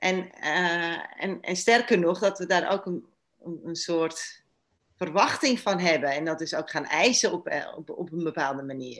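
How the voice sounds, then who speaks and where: Over a quiet background, the speaker moves at a very slow pace with lively intonation. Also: woman. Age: 50s. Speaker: relationship therapist. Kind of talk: interview. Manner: halting, many repetitions.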